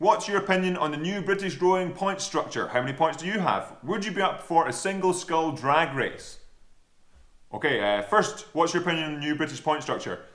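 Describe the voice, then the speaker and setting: The speaker talks at a fairly quick pace with an American accent. Audible room echo fills the recording. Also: man, high pitch for a man, ordinary pitch variation. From Scotland. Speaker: rower and fitness vlogger. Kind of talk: Q&A vlog, casual chat.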